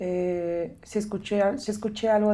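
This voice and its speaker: Her intonation holds fairly even. The woman speaks at a medium pitch. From Mexico, State of Mexico. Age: 20s. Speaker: missionary staff member. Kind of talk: casual interview.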